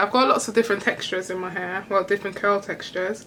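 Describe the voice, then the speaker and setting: In a British accent, a woman talks at a very fast pace with a medium pitch and monotone, flat intonation over noticeable background noise. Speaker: beauty vlogger. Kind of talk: hair care tutorial vlog. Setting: home bathroom. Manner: rambling, casual.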